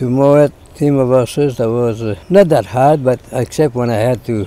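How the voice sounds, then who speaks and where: A man speaks with a strong French Canadian accent. His pitch is medium. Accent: thick French-Canadian. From Quebec, Canada. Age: 80s+. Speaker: former farmer. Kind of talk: interview answer.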